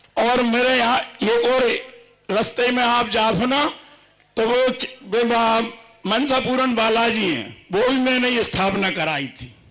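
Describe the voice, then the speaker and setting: A man with an extremely high pitch and ordinary pitch variation, over noticeable background noise. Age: 70s. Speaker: devotee, long-time Ramlila performer. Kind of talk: testimony.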